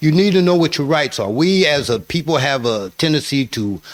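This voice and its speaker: Lively intonation marks this man's speech, heard against noticeable background noise. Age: 60s. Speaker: formerly incarcerated man, prison reform advocate. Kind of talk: radio interview. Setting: radio studio. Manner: halting, frequent filler words.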